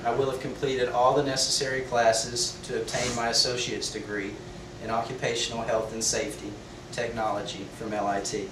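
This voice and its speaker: A man with an American accent talks at a fairly quick pace amid noticeable background noise and audible room echo. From Texas, Beaumont. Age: 30s. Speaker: student. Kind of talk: class speech. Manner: formal.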